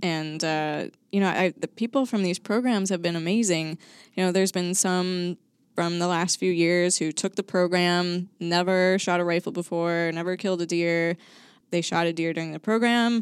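A woman with an American accent uses an ordinary speaking voice, fairly low in pitch with fairly even intonation, at a moderate pace in a very clean recording with a silent background and a dry, close sound with no echo. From suburban Chicago. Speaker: state wildlife agency coordinator. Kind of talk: casual chat. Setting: studio.

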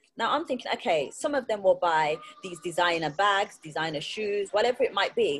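Through noticeable background noise, a woman with medium pitch talks with lively intonation. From England, Birmingham. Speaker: entrepreneur. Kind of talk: casual chat.

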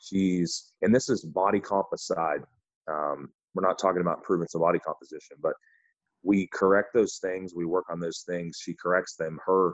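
Speaking at a moderate pace, a man with a Midwestern accent has a very deep, low pitch and fairly even intonation. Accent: general Midwestern American. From US Midwest. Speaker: podcast host and coach. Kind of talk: casual chat.

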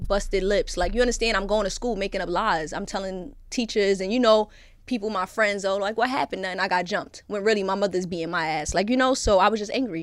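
A woman's animated, very fast delivery in a Brooklyn accent, at a medium pitch with ordinary pitch variation, hardly any pauses, and a very clean recording with a silent background. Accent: New York (Brooklyn). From Brooklyn, New York. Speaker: guest, content creator who was in prison. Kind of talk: casual podcast interview. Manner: animated, interrupts often, joking.

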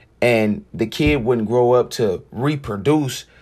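The speaker has an animated tone with ordinary pitch variation. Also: man. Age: 20s. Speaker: podcast host. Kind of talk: casual monologue.

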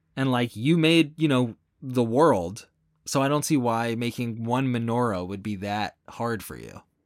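Here a man talks at a fairly slow pace and medium pitch with ordinary pitch variation. It's an unremarkable speaking voice on a very clean recording with a silent background. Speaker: podcast co-host. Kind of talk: casual comedic banter.

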